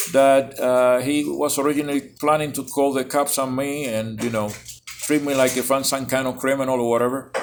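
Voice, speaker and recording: With music in the background, the speaker talks at a moderate pace in a monotone, flat intonation. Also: man. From Cuba. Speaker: self-styled apostle vlogger. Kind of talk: casual vlog monologue. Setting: cafe. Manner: loud.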